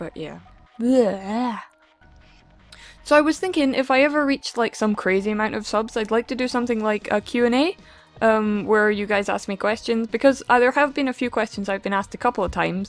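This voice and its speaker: Woman with a Scottish accent, fairly high pitch, ordinary pitch variation, and fairly quick pace over music in the background. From Scotland. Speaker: gaming vlogger. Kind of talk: casual chat. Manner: casual, rambling with fillers.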